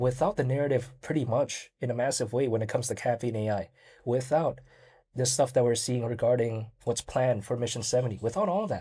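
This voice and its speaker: A man speaks at a fairly quick pace in a medium pitch with a dark, mellow tone, somewhat breathy, ordinary pitch variation, and a very clean recording over a silent background. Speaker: crypto YouTuber. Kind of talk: solo video commentary. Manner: casual, filler-heavy.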